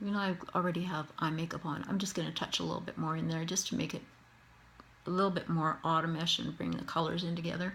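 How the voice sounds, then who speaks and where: A woman with a Canadian accent talks at a very fast pace and a fairly low pitch, with monotone, flat intonation and vocal fry. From Canada. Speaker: face painter. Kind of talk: tutorial.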